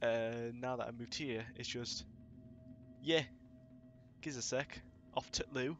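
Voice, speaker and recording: A man with a Yorkshire accent at a fairly slow pace, broken by long, frequent pauses. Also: medium pitch for a man, ordinary pitch variation. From northern England. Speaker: live streamer. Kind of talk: casual live-stream chat.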